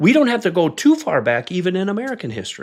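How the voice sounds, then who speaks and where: A man speaks at a high pitch. The recording is very clean, with a silent background. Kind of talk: solo podcast teaching talk.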